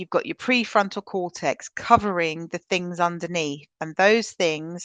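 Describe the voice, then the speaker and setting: A woman with a British accent and fairly low pitch at a fairly slow pace, in a dry, close sound with no echo and a quiet background. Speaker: trauma-informed practice trainer. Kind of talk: webinar presentation. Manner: energetic, loud; conversational with filler ums.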